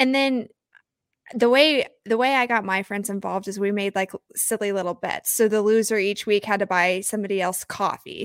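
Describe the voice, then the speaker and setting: A woman with an American accent and an unremarkable speaking voice speaks at a medium pitch and moderate pace with fairly even intonation. The very clean recording has a silent background and a dry, close sound with no echo. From Oklahoma, small town. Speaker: fantasy football podcaster and content analyst. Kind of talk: casual chat interview.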